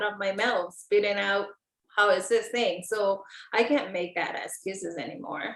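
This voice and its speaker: Fairly slow speech from a woman at medium pitch. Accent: Samoan. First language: Samoan. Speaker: network marketer. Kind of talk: interview.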